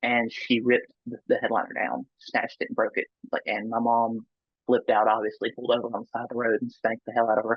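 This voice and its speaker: Speaking at a very fast pace, a man talks with a Southern US accent. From US South. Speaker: near-death experiencer. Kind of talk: interview testimony. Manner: halting.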